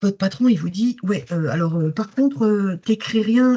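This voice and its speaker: Somewhat breathy and dark, mellow in tone, a woman speaks at a medium pitch and moderate pace with lively intonation. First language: English (speaking French). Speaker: workplace wellbeing trainer, former corporate communications director. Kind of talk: webinar talk. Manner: animated, conversational.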